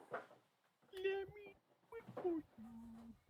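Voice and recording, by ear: Squeaky and extremely high, this put-on character voice swings very widely in pitch.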